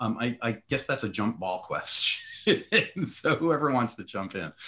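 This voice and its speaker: In an American accent, a man talks at a fairly slow pace with lively intonation and a bright, sharp tone. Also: medium pitch for a man. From US East Coast. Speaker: essayist and editor moderating a panel. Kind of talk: panel discussion. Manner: halting, many false starts.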